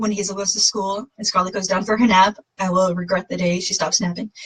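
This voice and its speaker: With an American accent, a woman sounds animated and somewhat breathy, recorded dry and close with no echo. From Massachusetts, US. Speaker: fitness coach. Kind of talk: casual livestream talk. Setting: Facebook live video. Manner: fast.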